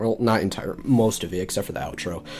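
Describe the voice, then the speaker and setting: A man talks with ordinary pitch variation. Behind him, music plays. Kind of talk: casual gaming tutorial narration.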